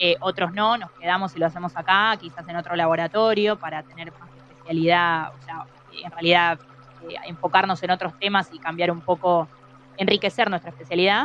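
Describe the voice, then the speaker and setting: Loudness jumps around a lot while the intonation stays fairly even and the pace runs fairly quick. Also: woman, fairly low pitch for a woman. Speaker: scientist. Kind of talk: interview. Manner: halting.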